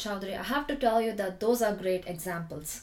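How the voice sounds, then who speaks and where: A woman with a non-native accent, lively intonation and a fairly quick pace. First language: not English. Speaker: podcast host. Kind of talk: interview.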